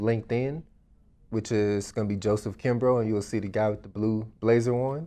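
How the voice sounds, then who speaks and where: A man speaks in an unremarkable speaking voice with an American accent. His medium pitch stays fairly even at a moderate pace. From Dallas, Texas. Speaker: real estate investor. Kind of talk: casual interview.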